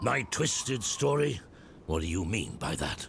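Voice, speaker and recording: A man performs a raspy, put-on character voice at a medium pitch with very wide pitch swings. He keeps a moderate pace over clear background noise. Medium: video game. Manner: grave, formal.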